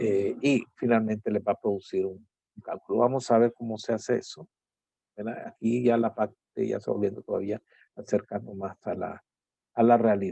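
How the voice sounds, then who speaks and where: A man at medium pitch with a dark, mellow tone, fairly even intonation, moderate pace, and a dry, close sound with no echo. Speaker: university lecturer. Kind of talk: lecture.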